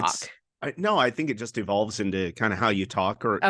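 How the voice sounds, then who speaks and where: A man speaks at a fairly quick pace, his fairly low voice carrying a bright, sharp tone. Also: ordinary pitch variation. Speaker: radio broadcaster. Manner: sports commentator.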